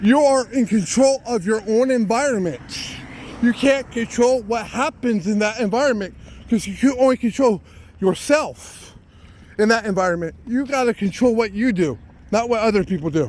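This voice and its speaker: A man speaks loudly at a moderate pace, his voice high for a man with ordinary pitch variation, over noticeable background noise. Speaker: citizen journalist. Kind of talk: walking vlog monologue.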